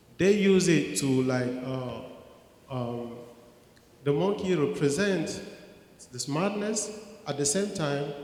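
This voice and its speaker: Lively in intonation but very slow, with long, frequent pauses, the speech comes through audible room echo and noticeable background noise. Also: man. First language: French. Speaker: audience member with expert knowledge. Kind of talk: audience question and answer comment. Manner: halting, many fillers and restarts.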